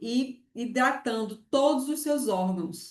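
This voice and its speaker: A woman speaks in a Pernambuco accent at a fairly slow pace. Her pitch is high. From Pernambuco, Brazil. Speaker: university lecturer. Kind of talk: online lecture.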